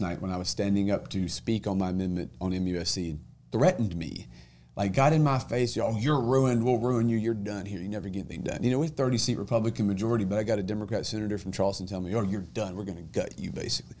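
With lively intonation and a very fast pace, a man with a fairly low pitch speaks in an American accent. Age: 30s. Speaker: state senator. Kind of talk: casual chat.

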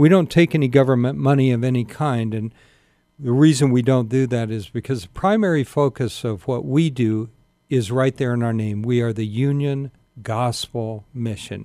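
A man's dark, mellow voice of medium pitch, with an American accent, a moderate pace and ordinary pitch variation. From Sacramento, California. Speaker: pastor and homeless mission director. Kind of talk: radio interview. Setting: studio. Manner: halting, repeats words.

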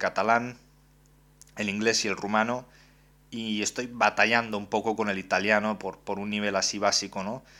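A man speaks at a fairly slow pace in a fairly low pitch. His tone is bright and sharp. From Romania, Constanța. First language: Romanian (speaking Spanish). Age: 20s. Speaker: podcast host and journalist. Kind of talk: monologue podcast presentation.

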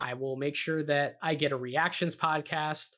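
Captured in a very clean recording with a silent background, a man speaks at a fairly high pitch. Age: 20s. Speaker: basketball podcast host. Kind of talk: solo podcast commentary.

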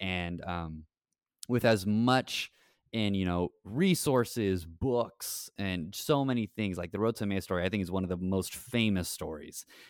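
In an American accent, a normal speaking voice moves at a fairly slow pace with ordinary pitch variation, its sound dry and close with no echo on a very clean recording with a silent background. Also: man, fairly low pitch for a man. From Texas, Rio Grande Valley. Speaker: parish evangelization director and podcast co-host. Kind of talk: casual interview about scripture.

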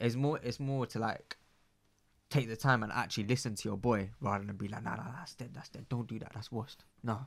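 A man with a London accent at a fairly quick pace. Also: medium pitch for a man, ordinary pitch variation. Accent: London multicultural youth English. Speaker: guest. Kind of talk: casual interview chat. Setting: studio.

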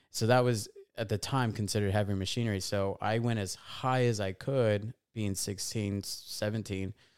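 In a Californian accent, a man with a fairly low pitch talks at a moderate pace with fairly even intonation on a very clean recording with a silent background. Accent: Californian American English. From Southern California (Fontana). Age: 30s. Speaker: entrepreneur and investor. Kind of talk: casual interview.

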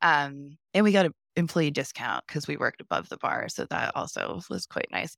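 A woman with an American accent speaks at a moderate pace in a very deep, low voice with vocal fry and very wide pitch swings. The sound is dry and close with no echo, on a very clean recording with a silent background. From US Midwest, small-town Ohio. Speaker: tattoo artist. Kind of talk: interview, personal story.

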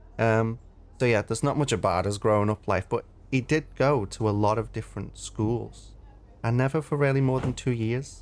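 Here is an ordinary speaking voice with ordinary pitch variation. The pace is moderate. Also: man, medium pitch for a man. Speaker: podcast co-host. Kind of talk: casual chat.

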